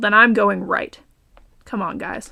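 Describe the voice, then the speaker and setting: A woman speaks at a moderate pace in a raspy, put-on character voice of medium pitch. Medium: read story. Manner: hostile, confrontational.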